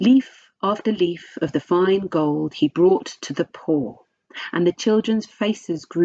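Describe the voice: Plain reading aloud against a quiet background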